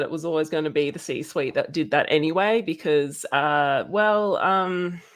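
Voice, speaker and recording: A woman with an Australian accent talks at a moderate pace with a fairly low pitch. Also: hardly any pauses. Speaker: guest co-host. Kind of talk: live stream discussion. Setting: live stream video call. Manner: halting, many fillers.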